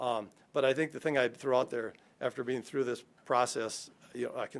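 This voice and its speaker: He talks at a fairly quick pace with a medium pitch. His intonation stays fairly even. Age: 60s. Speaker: architect and project manager presenting to city council. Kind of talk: presentation at public meeting. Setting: city council meeting. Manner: casual, halting with fillers.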